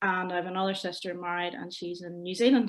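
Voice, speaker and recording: With a Northern Irish accent, a woman talks in a flat, monotone way at a medium pitch. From Northern Ireland, County Londonderry near Lough Neagh. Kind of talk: interview testimony.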